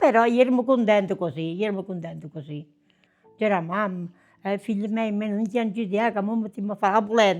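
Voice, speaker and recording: Over music in the background, a woman with a southern Italian accent talks fairly quickly at a medium pitch, with ordinary pitch variation. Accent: southern Italian (Basilicata). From southern Italy, province of Potenza. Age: 90s. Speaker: grandmother recalling wartime childhood. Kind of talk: personal testimony, interview answer.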